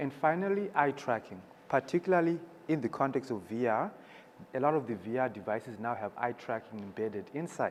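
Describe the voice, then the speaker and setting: Speaking at a fairly quick pace with a non-native accent, a man's voice moves through very wide pitch swings. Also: medium pitch for a man. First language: not English. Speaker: startup founder. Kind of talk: panel presentation.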